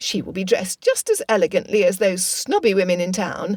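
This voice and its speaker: A loud, shrill, female-sounding put-on character voice moves along at a moderate pace. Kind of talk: period English. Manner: loud, gleeful.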